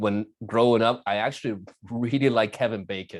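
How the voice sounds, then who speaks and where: A non-native accent on a very clean recording with a silent background. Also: man. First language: not English. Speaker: magician and keynote speaker. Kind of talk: casual interview. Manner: halting, repeats words.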